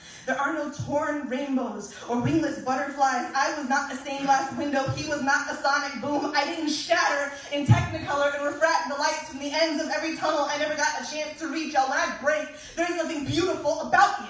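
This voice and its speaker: Over noticeable background noise, a woman speaks at a high pitch and a fairly quick pace in a monotone, flat way. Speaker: slam poet. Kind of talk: slam poetry performance. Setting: live stage.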